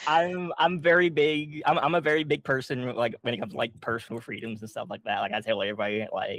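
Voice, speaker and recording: A man talks very fast at a fairly high pitch, with hardly any pauses. His intonation is lively. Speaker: comic creator. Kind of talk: casual chat. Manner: halting, many fillers.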